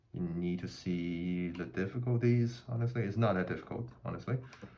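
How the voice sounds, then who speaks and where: With lively intonation and a non-native accent, a man talks at a moderate pace. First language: not English. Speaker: gun hobbyist, army veteran. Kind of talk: tutorial. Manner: halting, many fillers.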